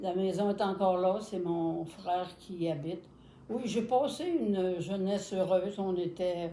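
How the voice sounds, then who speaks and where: A woman's medium-pitched voice with ordinary pitch variation, a fairly slow pace, audible room echo and noticeable background noise. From Quebec, Contrecœur. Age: 80s+. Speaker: grandmother, volunteer. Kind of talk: casual interview.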